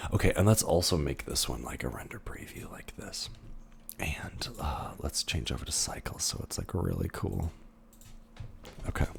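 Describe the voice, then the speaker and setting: A man whispering at a moderate pace, with long, frequent pauses. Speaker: 3D animation instructor. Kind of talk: recorded lecture tutorial. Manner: casual, hesitant with many fillers.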